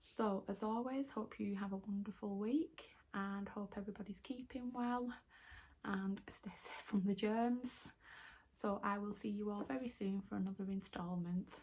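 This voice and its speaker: Her voice sits at a medium pitch and is somewhat breathy, moving at a moderate pace with ordinary pitch variation. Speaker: tarot reader. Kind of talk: tarot reading video.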